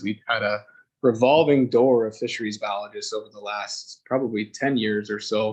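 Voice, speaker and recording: Here a man speaks at a medium pitch. His pitch variation is ordinary. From Alberta / Ontario, Canada. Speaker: fisheries biologist. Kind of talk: presentation to council. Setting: council chamber meeting. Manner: loud; fast.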